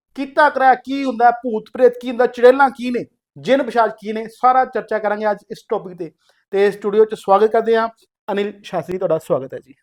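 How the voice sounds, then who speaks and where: The speaker, in a Punjabi accent, keeps a moderate pace. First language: Punjabi (speaking Hindi). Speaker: podcast host. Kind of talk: interview. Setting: studio.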